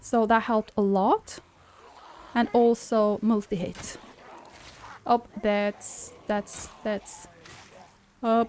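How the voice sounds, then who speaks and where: With a Swedish accent, a woman speaks at a very slow pace in a fairly high, monotone, flat voice, leaving long, frequent pauses. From Sweden. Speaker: game streamer. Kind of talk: casual chat. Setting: live stream at home.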